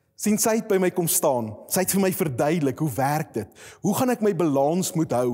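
Lively intonation runs through a dark, mellow tone over a quiet background. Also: man. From Free State, South Africa (Koppies); Free State, South Africa. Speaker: pastor. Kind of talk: sermon. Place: studio. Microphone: lapel.

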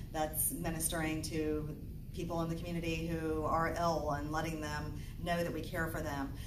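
Amid noticeable background noise, a woman with a very deep, low pitch speaks at a moderate pace in a monotone, flat intonation. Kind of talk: temple talk to congregation. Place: church. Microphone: camera far.

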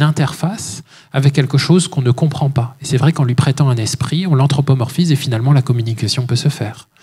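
At a fairly quick pace, a dark, mellow, somewhat breathy voice speaks with fairly even intonation over a quiet background. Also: man. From France. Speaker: author and speaker. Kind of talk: lecture; Q&A answers. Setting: stage with audience. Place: hall. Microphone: handheld.

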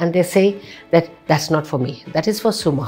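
A woman talks at a moderate pace while faint music plays in the background. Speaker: show host. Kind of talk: interview question. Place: studio.

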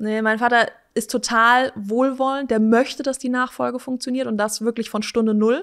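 Against a quiet background, a woman with a fairly high pitch speaks in a flat, monotone way at a moderate pace. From Hesse, Germany (Wiesbaden); Hesse, Germany. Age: 30s. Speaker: company managing director; guest. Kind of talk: casual interview. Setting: company headquarters. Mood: relaxed, friendly. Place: studio. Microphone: studio mic.

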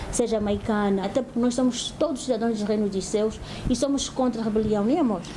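Against noticeable background noise, a woman with a fairly high pitch speaks at a fairly quick pace with fairly even intonation. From Angola. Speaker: pastor's wife, church missionary; pastor's wife. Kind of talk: testimony. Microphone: lapel.

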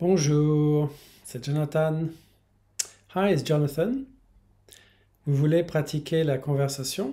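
This man's voice sits fairly high in pitch and carries a dark, mellow tone. He speaks at a very slow pace with fairly even intonation. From France, Paris. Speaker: language teacher; French teacher. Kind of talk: promotional introduction; self-introduction promo talk. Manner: bilingual, repeating each line in English. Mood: friendly, smiling. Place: home room. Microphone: phone near.

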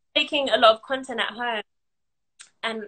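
A woman's bright, sharp voice with fairly even intonation and a London accent. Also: quiet background. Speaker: content creator and business owner; content creator. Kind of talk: casual interview. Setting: online live video call. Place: home room. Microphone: video call.

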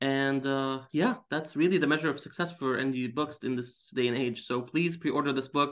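A man with an Arabic accent talks at a moderate pace and a fairly high pitch, with fairly even intonation, hardly any pauses and a quiet background. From Syria. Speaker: comic book writer. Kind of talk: casual interview. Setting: video call. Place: home room.

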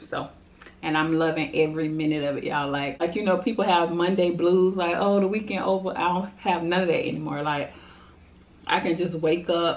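A woman talks at a fairly quick pace in a fairly low pitch. She has an unremarkable speaking voice with fairly even intonation. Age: 30s. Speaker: mukbang youtuber; mukbang vlogger. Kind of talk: casual chat while eating. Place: home room. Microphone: camera far.

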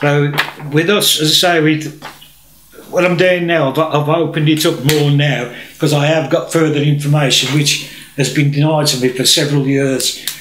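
A man talks at a moderate pace in a fairly high pitch, his intonation monotone and flat and his loudness very even. Light background noise and audible room echo sit under the voice. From England. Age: old. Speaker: political campaigner. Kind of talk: presentation to camera. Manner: halting. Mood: indignant, earnest. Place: home room. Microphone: camera far.

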